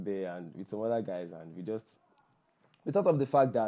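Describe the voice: A man with a fairly low voice. His intonation is lively.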